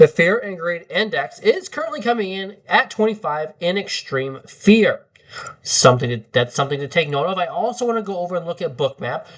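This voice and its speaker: Noticeable background noise runs under this man's voice. He talks at a fairly quick pace and high pitch, with very wide pitch swings. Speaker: crypto trading streamer. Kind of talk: live market analysis stream. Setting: livestream. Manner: casual, with filler words.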